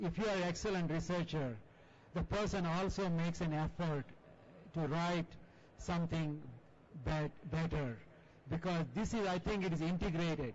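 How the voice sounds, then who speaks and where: An Indian accent at a moderate pace, with very even loudness, ordinary pitch variation and long, frequent pauses. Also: man, high pitch for a man. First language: non-English Indian language. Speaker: journal editor and chemistry professor. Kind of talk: panel discussion.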